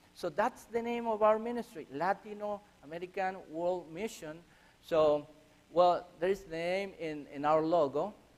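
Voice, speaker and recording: A man speaks with a Chilean accent at a moderate pace. His pitch is high and his intonation lively. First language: Spanish. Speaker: missionary. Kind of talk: church mission presentation. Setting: church. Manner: halting.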